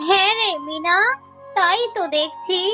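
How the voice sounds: Over faint background music, a cartoonish character voice with a bright, sharp tone moves at a fairly slow pace. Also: ordinary pitch variation.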